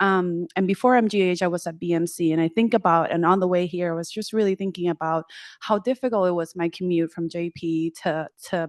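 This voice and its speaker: A woman with a Spanish accent at a fairly quick pace, fairly even intonation, and a dry, close sound with no echo. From Puerto Rico. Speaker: clinical psychologist and professor. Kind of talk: panel discussion.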